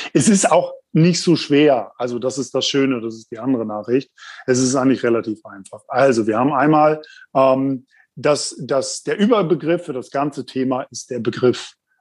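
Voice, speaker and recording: A man with an unremarkable speaking voice speaks at a medium pitch and moderate pace, his pitch varying in an ordinary way. His loudness swings widely against a quiet background. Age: 30s. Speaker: insurance specialist. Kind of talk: explanatory interview.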